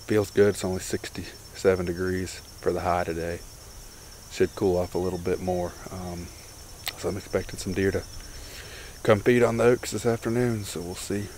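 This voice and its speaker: A man speaks in a very deep, low pitch with fairly even intonation. Long, frequent pauses break his speech over light background noise. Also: moderate pace, dry sound with no echo. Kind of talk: casual vlog chat. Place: forest. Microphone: phone near.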